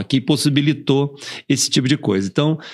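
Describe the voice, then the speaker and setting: Recorded very cleanly against a silent background, a man speaks at a moderate pace and a fairly high pitch in a plain, everyday voice. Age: 60s. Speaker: company CEO hosting podcast. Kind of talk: podcast interview.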